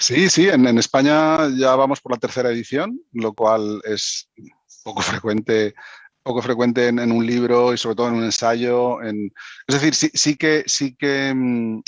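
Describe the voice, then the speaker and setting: With a Catalan accent, a man speaks fairly slowly at a medium pitch with ordinary pitch variation, the sound dry and close with no echo. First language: Catalan (speaking Spanish). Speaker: author. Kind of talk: panel discussion. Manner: halting, many fillers.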